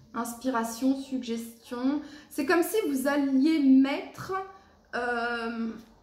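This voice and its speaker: Amid noticeable background noise and audible room echo, a woman speaks at a very slow pace and a high pitch, with ordinary pitch variation and long, frequent pauses. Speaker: tarot card reader. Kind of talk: tarot reading for a zodiac sign. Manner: halting, many fillers; loud.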